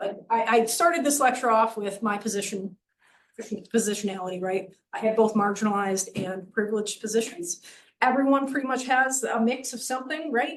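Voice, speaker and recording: At a fairly quick pace, a woman speaks in a fairly high voice with ordinary pitch variation. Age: middle-aged. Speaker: professor. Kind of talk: lecture. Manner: fast.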